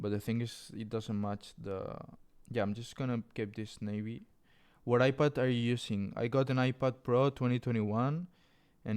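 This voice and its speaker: A man with a Spanish accent speaks at a moderate pace with fairly even intonation. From Spain. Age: 20s. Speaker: clothing designer streamer. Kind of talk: live stream tutorial chat. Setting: live stream. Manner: casual, reading chat aloud.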